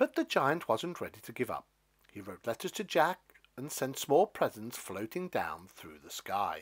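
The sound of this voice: With big pitch swings, a man speaks with a slightly husky edge. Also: medium pitch for a man, fairly slow pace.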